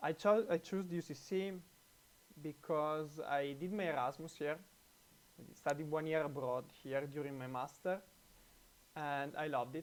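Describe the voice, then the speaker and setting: In an Italian accent, a man talks at a moderate pace and a fairly high pitch, with ordinary pitch variation and long, frequent pauses. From Italy. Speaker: computer science researcher. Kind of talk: testimonial. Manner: halting, many fillers.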